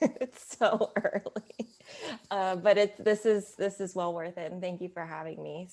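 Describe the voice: A woman's raspy, put-on character voice at a medium pitch and moderate pace, with ordinary pitch variation and big swings in loudness.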